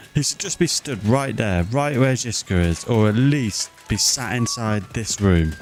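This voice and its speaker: Against noticeable background noise, a man of medium pitch with a British accent talks at a fairly slow pace with hardly any pauses. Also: lively intonation. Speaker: gaming streamer. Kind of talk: live gameplay commentary. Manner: moany, complaining.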